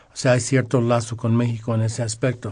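Against a quiet background, a man speaks at a fairly slow pace in a somewhat breathy voice. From Los Angeles, California, Mexican-American. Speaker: music radio guest, Latin music collector. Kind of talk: casual radio interview.

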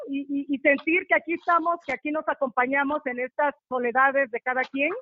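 A woman speaks at a fairly quick pace. Her high voice keeps a fairly even intonation. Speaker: poet. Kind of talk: casual interview. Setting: remote call, audio only. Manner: musical.

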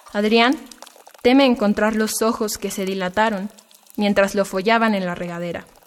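With fairly even intonation and a fairly high pitch, a woman speaks at a moderate pace amid noticeable background noise. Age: 20s. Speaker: poet and literature student. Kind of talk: poetry reading.

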